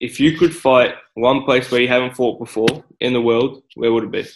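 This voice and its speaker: A man speaks with an Australian accent at a moderate pace. His pitch is medium and his intonation fairly even. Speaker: podcast host. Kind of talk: casual interview.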